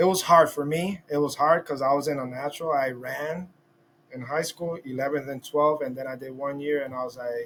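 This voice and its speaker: This man, with a Spanish accent, has a fairly high pitch and fairly even intonation. He talks at a fairly quick pace, and his loudness swings widely. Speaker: podcast host. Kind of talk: casual interview. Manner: halting.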